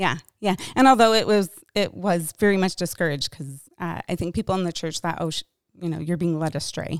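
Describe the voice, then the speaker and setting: A woman with an American accent talks at a fairly quick pace, her fairly low pitch showing ordinary variation. The recording is very clean with a silent background, and the sound is dry and close with no echo. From Michigan. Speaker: church counseling director. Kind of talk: interview conversation. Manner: fast.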